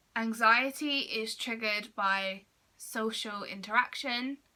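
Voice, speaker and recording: Loud and very slow, a woman speaks with a British accent at a fairly high pitch. Her tone is bright and sharp, and her intonation fairly even. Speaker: vlogger on mental health. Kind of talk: personal vlog talk to camera.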